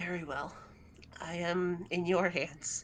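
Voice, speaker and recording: A woman's raspy, put-on character voice, fairly low in pitch and monotone, at a fairly slow pace over clear background noise. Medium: actual play. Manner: stiff, solemn.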